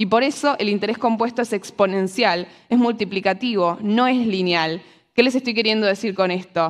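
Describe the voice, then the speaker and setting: A woman speaks with a Rioplatense accent at a moderate pace. Her pitch varies in an ordinary way over a quiet background. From Argentina. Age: 20s. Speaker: economist and financial educator; speaker. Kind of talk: talk to a live audience. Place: stage. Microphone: lapel.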